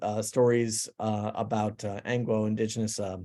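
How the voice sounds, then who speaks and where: A man with an American accent and a dark, mellow tone speaks at medium pitch and a moderate pace with fairly even intonation, in a very clean recording with a silent background. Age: 60s. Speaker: digital artist. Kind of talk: artist talk presenting work. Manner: halting, many fillers and restarts.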